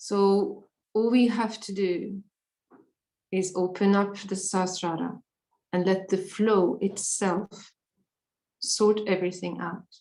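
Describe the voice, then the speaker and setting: A woman's dark, mellow voice, monotone and flat, at a very slow pace with long, frequent pauses. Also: medium pitch for a woman. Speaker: meditation workshop leader. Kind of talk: guided meditation workshop. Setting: workshop with live translation.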